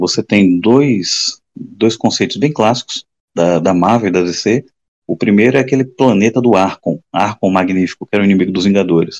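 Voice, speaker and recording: A man's fairly low voice, a plain, everyday voice, at a moderate pace with ordinary pitch variation, very even loudness, and a dry, close sound with no echo. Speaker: comic book podcast co-host. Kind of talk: casual chat.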